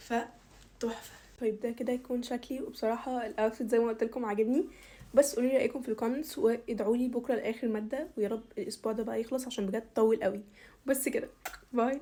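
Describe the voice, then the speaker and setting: Pitch variation is ordinary and the pace fairly quick. The tone comes across dark and mellow. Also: woman, high pitch for a woman. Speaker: university student vlogger. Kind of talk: get ready with me vlog. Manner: casual, chatty.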